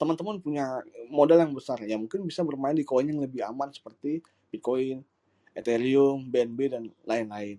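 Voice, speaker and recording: A man with a dark, mellow tone and medium pitch speaks at a moderate pace with ordinary pitch variation. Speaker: crypto exchange PR and digital marketer. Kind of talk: casual talk-show discussion. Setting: live audio room online.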